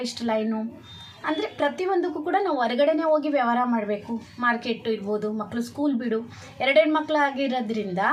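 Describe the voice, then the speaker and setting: A woman speaks at a high pitch with ordinary pitch variation. Noticeable background noise runs underneath. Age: 40s. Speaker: vlogger, homemaker. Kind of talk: casual vlog monologue. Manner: halting.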